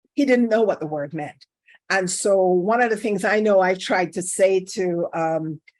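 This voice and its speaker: This woman talks at a moderate pace with a medium pitch and a Caribbean accent. Her intonation is lively. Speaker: career expert and workshop speaker. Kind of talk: workshop talk. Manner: conversational, with fillers.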